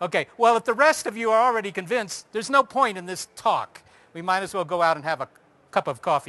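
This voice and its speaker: In a raised, projected voice, a man talks at a very fast pace with a high pitch and a bright, sharp tone. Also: lively intonation, big swings in loudness. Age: 50s. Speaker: astronomer giving a public talk. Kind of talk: public lecture.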